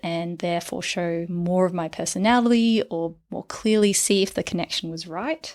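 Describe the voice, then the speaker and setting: A woman with an Australian accent speaks at a moderate pace and a fairly low pitch with ordinary pitch variation, on a very clean recording with a silent background. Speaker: clinical psychologist and dating coach. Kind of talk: podcast monologue. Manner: stumbles over words when excited.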